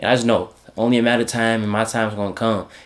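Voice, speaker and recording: Noticeable background noise sits behind a man who speaks at a very fast pace in a medium pitch. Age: young. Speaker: vlogger and content creator. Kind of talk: casual vlog talk to camera. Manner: halting, stuttering at times.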